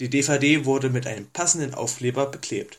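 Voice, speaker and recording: This man's voice sits at medium pitch and is somewhat breathy. He speaks at a moderate pace with ordinary pitch variation. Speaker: listener sending in a recorded review. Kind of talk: recorded review read from notes. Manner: reading from notes, several takes.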